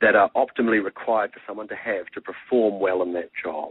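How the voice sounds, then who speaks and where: A fairly quick man's voice, fairly low in pitch with ordinary pitch variation, in a New Zealand accent. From New Zealand (Marlborough). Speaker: tech entrepreneur. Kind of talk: radio interview. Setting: radio show. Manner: fast.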